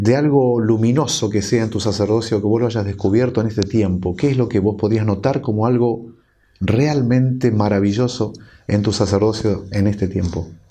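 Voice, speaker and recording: With an Argentine accent, a man speaks at a moderate pace in a fairly low, dark, mellow voice, his intonation fairly even and his loudness very even. Audible room echo surrounds him. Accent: Argentine Spanish (rioplatense voseo). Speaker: priest and TV host. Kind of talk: TV interview. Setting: TV studio.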